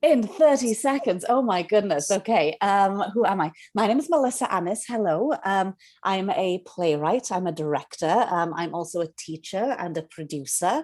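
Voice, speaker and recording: Woman with a Welsh accent, medium pitch and very wide pitch swings, at a moderate pace on a very clean recording with a silent background. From Wales, Cardiff. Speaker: playwright and director. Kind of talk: interview.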